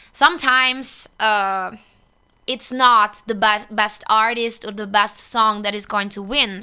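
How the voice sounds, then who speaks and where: With an Italian accent, a woman speaks at a very slow pace in a fairly high pitch, her tone bright and sharp and her intonation fairly even. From northeast Italy. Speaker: singer. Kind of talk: interview chat.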